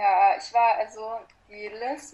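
Noticeable background noise runs under a woman whose pitch varies in an ordinary way. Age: 20s. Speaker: yoga teacher. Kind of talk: casual interview.

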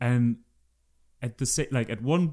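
A man talks at a moderate pace with a German accent and ordinary pitch variation. The recording is very clean, with a silent background. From Germany. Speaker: researcher. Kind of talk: interview.

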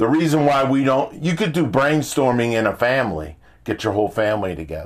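An animated man talks at a fairly quick pace and medium pitch, his voice making very wide pitch swings. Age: 60s. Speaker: motivational podcast host. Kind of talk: motivational monologue.

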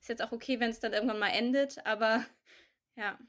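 On a very clean recording with a silent background, a woman with an ordinary speaking voice talks at a fairly high pitch with fairly even intonation. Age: 20s. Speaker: young adult sharing pandemic experiences. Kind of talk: casual chat.

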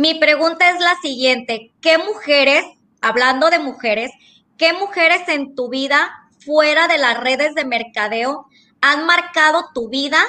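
A woman with a high voice speaks at a fairly slow pace, loud and projected, her tone bright and sharp and her pitch varying in an ordinary way. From Sinaloa, Mexico. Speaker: psychologist. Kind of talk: panel question. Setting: video call.

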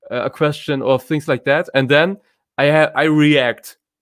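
A man with a German accent and fairly high pitch, at a moderate pace, in a very clean recording with a silent background. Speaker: content marketing podcaster and content manager. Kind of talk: live video session talking to viewers. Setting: live stream on social media. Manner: informal, conversational.

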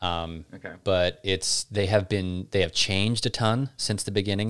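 On a very clean recording with a silent background, a man with an American accent and an ordinary speaking voice talks at a moderate pace and fairly low pitch. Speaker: podcast host. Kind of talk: casual Q&A chat.

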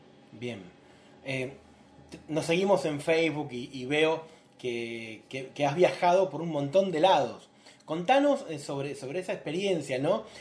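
At a fairly slow pace, a man with a fairly high, somewhat breathy voice talks with ordinary pitch variation and big swings in loudness. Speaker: interviewer for a publishing house. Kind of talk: live-streamed interview. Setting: live video stream, also on radio. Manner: halting, many fillers.

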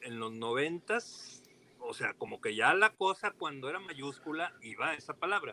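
A man's high voice with very wide pitch swings at a moderate pace, dry and close with no echo, over noticeable background noise. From Torreón, Coahuila, Mexico (La Laguna region). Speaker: historian and archive director. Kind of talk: casual interview.

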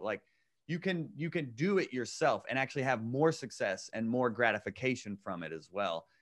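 A man's lively intonation and vocal fry at a moderate pace, on a very clean recording with a silent background. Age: 30s. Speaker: comedian. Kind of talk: casual chat.

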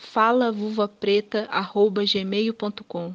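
Monotone, flat delivery in a dry, close sound with no echo. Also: woman. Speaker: podcast co-host. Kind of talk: recorded monologue.

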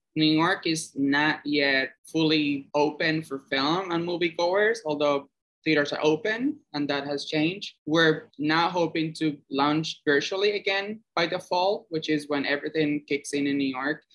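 A man with a Spanish accent talks at a fairly slow pace with hardly any pauses, his fairly high pitch held in a fairly even intonation. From Cuba. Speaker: film producer. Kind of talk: interview.

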